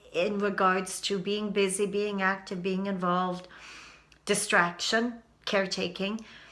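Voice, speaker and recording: A woman speaks fairly slowly at a medium pitch with a bright, sharp tone. Audible room echo surrounds her voice. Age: 60s. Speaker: YouTube vlogger. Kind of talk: personal vlog monologue. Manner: halting.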